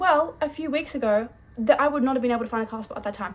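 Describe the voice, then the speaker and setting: A woman with an Australian accent speaks at a fairly quick pace, her pitch varying in an ordinary way. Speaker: vlogger. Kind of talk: casual vlog talk to camera. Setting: at home in her room. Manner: chatty, fast with many fillers.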